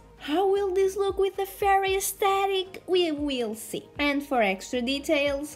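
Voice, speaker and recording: Speaking at a fairly slow pace, a woman uses very wide pitch swings. She has a non-native accent. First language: not English. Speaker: art content creator. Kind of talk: tutorial. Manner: casual, halting.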